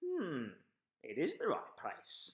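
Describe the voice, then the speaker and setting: A man does a put-on character voice. Its pitch is extremely high. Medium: read story.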